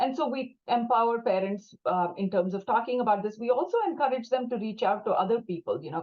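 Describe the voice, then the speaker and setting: With a Tamil accent, a woman speaks at a fairly quick pace in a fairly high voice with lively intonation. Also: hardly any pauses. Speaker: clinician working with young people and families. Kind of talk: panel discussion.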